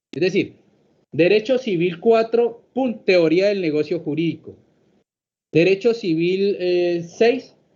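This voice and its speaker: He talks at a fairly slow pace, his voice high in pitch for a man. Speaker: law professor. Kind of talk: lecture.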